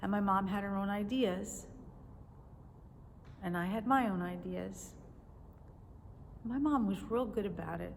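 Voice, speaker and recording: Audible echo from the room fills the space. A woman talks at a middling speed within it. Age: 60s. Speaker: teacher and video blogger. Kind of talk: casual devotional talk to camera. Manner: conversational.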